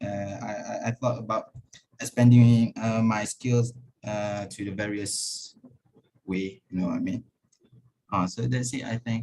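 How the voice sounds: Fairly low in pitch, a man speaks at a fairly slow pace with a dark, mellow tone and fairly even intonation.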